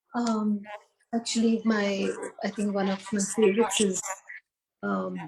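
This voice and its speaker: Flat, monotone intonation with a Tamil accent. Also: woman. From India, Hyderabad. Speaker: founder of a community space. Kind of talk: interview. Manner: calm.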